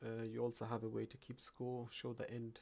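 A man speaks at a moderate pace in a somewhat breathy voice. His intonation is flat and monotone. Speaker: programming tutorial creator. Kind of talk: screen-recorded coding tutorial narration. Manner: casual, hesitant.

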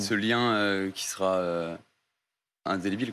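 This man talks. Faint noise sits in the background. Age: young. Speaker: sports coach. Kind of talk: TV interview. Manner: hesitant. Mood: serious, slightly nervous. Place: studio. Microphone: lapel.

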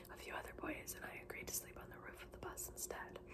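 A soft-spoken woman whispers at a fairly quick pace. Loud background noise runs underneath. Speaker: book reader. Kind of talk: reading a memoir aloud. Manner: soft whispered bedtime reading. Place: home room. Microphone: phone near.

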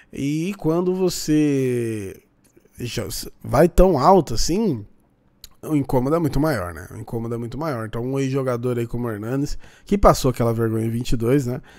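This man speaks at a moderate pace and medium pitch with an animated tone, lively intonation and big swings in loudness against a quiet background. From Brazil. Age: 30s. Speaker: football YouTuber. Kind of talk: casual react commentary. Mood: mocking, opinionated. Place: home room.

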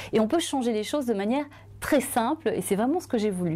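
Her tone dark and mellow, a woman speaks with lively intonation. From Belgium. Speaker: journalist and author; journalist. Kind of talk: testimony. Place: studio. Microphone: lapel.

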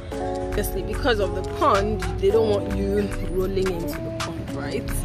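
A woman speaks with a Nigerian accent in a dry recording with no echo. Loud music plays in the background. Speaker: stay-at-home mother. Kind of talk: vlog talk to camera. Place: garden. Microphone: phone near.

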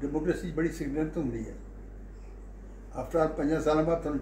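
A man is speaking with audible room echo. Light background noise can be heard. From Punjab, Lyallpur region (now Pakistan). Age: 80s+. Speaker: agricultural economist. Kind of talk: interview answer. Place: home room. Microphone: phone near.

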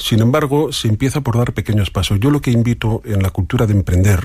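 Somewhat breathy speech at a moderate pace with lively intonation. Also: man. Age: 50s. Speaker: coach and entrepreneur. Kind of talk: radio interview.

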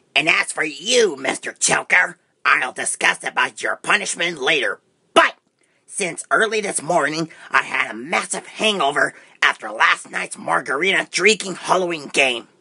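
A man's cartoonish character voice, high-pitched, with lively intonation at a moderate pace. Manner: bossy, scornful, profane.

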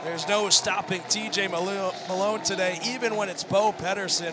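Over music in the background, a man with a high pitch uses a raised, projected voice and monotone, flat intonation. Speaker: play-by-play commentator. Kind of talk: live play-by-play lacrosse commentary, calling passes and goals in real time. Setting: stadium broadcast booth.

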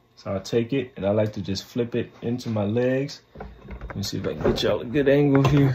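A man speaks at a fairly quick pace and a medium pitch. His tone is dark and mellow, with ordinary pitch variation.

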